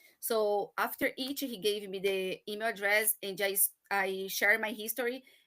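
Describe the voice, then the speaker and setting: Her tone is bright and sharp, with fairly high pitch and ordinary variation. This woman speaks at a moderate pace. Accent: Brazilian. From Brazil. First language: Portuguese. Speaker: marketing professional, immigrant. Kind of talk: personal story in a live chat. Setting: live online broadcast. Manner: halting, hesitant.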